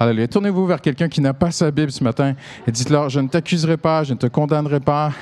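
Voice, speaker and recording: A man with a Canadian French accent talks at a very fast pace in a fairly high pitch. His loudness stays very even. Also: ordinary pitch variation. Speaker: pastor. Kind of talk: sermon. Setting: church service. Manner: animated.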